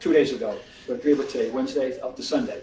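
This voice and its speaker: A man is speaking in a space with audible room echo. Noticeable background noise runs underneath. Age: 70s. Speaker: sportswriter and author. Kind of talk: author talk, conversational interview. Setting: theater with live audience. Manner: animated.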